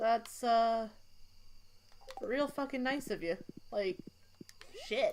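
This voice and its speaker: Loud, very slow speech from a fairly high-pitched woman, with long, frequent pauses and ordinary pitch variation. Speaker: streamer. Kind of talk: casual chat. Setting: live stream, shared mic at a table.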